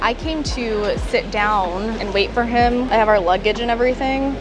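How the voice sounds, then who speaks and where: Over music in the background, a woman speaks at a moderate pace with ordinary pitch variation in a dry recording with no echo. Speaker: travel vlogger. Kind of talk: casual vlog chat. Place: station.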